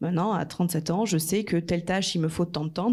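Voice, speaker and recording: Her tone is dark and mellow, and the woman's pitch varies in an ordinary way. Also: very clean recording, silent background. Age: 30s. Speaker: marketing director. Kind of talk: conference talk. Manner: animated.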